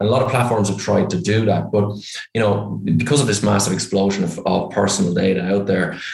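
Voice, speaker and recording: This man talks at a fairly quick pace with a fairly low pitch and an Irish accent. Background noise is noticeable. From Ireland. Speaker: startup founder and CEO. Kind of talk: casual interview. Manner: cheerful, direct.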